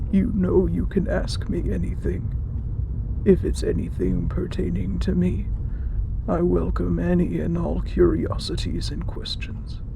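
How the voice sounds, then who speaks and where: A man puts on a character voice at a fairly slow pace. Loud background noise is present. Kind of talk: audio roleplay. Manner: calm, reassuring.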